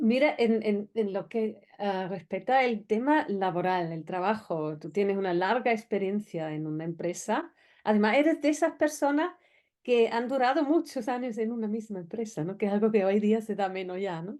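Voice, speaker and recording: A woman uses a normal speaking voice with a fairly high pitch. Her intonation is lively over a quiet background. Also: moderate pace. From outside Spain. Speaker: interviewer. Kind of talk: interview. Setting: studio.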